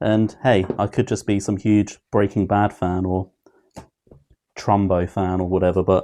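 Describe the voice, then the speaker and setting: A man speaks at a fairly low pitch with a dark, mellow tone. His pace is moderate against a quiet background. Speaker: YouTube TV reviewer. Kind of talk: opinion review monologue. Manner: monotone.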